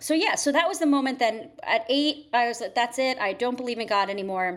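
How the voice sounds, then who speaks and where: A woman with an American accent, an ordinary speaking voice, lively intonation and a fairly quick pace. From southern Connecticut, Fairfield County. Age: 30s. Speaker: writer. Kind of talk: interview testimony.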